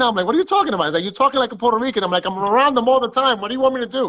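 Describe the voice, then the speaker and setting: A raised, projected voice with a bright, sharp tone against a quiet background. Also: man. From Dominican Republic. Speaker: car window tinter. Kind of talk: casual chat.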